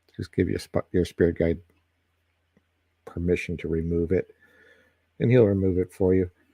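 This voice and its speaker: Dry and close with no echo, a man's voice has a dark, mellow tone and a very deep, low pitch. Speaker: psychic reader. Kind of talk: live stream tarot reading. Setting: live stream. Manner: halting, stumbling over words.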